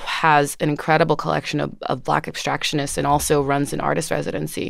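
A woman with an American accent speaks in a very deep, low pitch, her intonation fairly even and her voice showing vocal fry. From New Jersey, Orange near Newark. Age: 20s. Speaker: curator and writer. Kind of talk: interview. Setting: studio.

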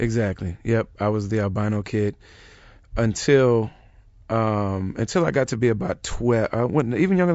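A man has a normal speaking voice at a medium pitch. He speaks with an American accent. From US Midwest. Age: 30s. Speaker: rapper. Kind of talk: interview.

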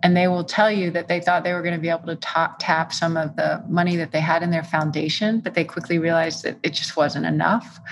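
A woman with a fairly low pitch talks at a fairly quick pace with hardly any pauses, over noticeable background noise. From Texas. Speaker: venture capital investor. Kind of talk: interview. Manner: animated.

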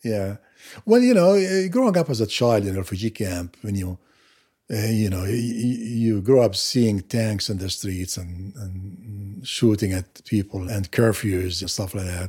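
A man's fairly low, somewhat breathy voice with a dark, mellow tone, ordinary pitch variation, and a fairly slow pace, in a very clean recording with a silent background. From Gaza, Palestine. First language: Arabic. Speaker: nurse anesthetist. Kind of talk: interview. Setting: home office. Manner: halting, many fillers.

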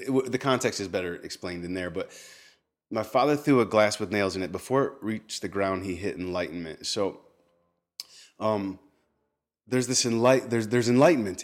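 A man with an American accent talks at a fairly quick pace in a fairly low pitch. His is a plain, everyday voice with ordinary pitch variation. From Texas. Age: 40s. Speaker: spoken word poet. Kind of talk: casual chat. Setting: home kitchen.

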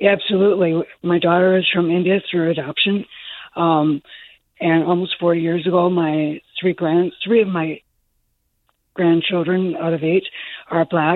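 At a fairly slow pace, a woman with an American accent speaks in a fairly low pitch and monotone, flat intonation, leaving long, frequent pauses. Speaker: grandmother. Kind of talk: call-in comment. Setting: phone call.

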